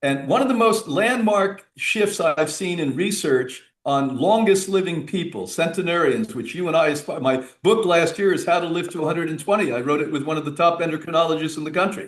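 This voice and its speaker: A man with a high pitch talks at a fairly quick pace with ordinary pitch variation. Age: 70s. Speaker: health and wellness author, retreat director. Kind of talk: radio interview. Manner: animated.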